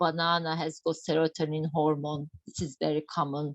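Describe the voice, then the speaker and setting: A woman with a Turkish accent speaks at a moderate pace. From Turkey. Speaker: doctor giving a health talk. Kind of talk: online health lecture.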